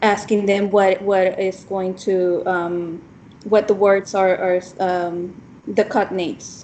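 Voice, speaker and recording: A woman's dark, mellow voice with a Spanish accent, medium pitch, monotone, flat intonation and a very slow pace. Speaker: teacher trainee. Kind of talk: casual discussion between classmates. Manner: halting, many ums.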